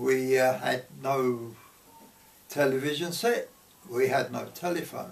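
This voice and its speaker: A man's medium-pitched voice, fairly even in intonation, at a very slow pace with long, frequent pauses and audible room echo. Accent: London. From London, Paddington. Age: 90s. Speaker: grandparent sharing memories. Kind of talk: oral history interview.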